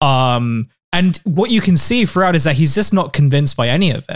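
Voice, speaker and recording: A man speaks with a British accent. His pitch is fairly high, with ordinary pitch variation. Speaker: podcast co-host. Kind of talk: casual political comedy chat. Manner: halting, many fillers.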